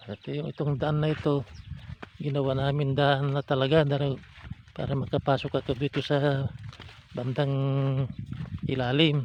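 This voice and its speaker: Long, frequent pauses break up this man's fairly slow speech. His pitch is fairly high and his intonation is monotone and flat. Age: 70s. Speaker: farmer. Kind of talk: casual vlog talk to camera. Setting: outdoors.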